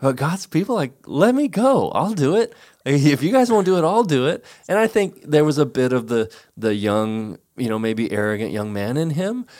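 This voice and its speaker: A man speaks at a moderate pace in a fairly high voice, his pitch swinging very widely, on a very clean recording with a silent background. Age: 50s. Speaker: pastor. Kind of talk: casual chat.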